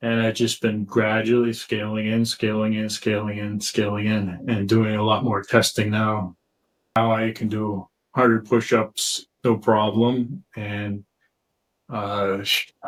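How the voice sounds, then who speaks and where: Monotone and flat in intonation, a man with a fairly low pitch speaks at a fairly slow pace. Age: 60s. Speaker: longevity enthusiast. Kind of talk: interview.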